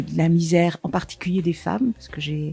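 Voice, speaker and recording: Against noticeable background noise, a woman speaks at a fairly low pitch with fairly even intonation. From Paris suburbs, France. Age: 70s. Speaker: sexologist, former nurse and teacher. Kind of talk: interview testimony. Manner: hesitant, with many fillers.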